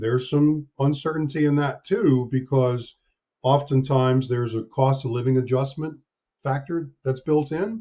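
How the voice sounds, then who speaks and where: A man with an American accent talks in a fairly high, somewhat breathy voice with ordinary pitch variation. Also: moderate pace. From US Northeast, near Hartford, Connecticut. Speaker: actuary. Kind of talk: podcast interview.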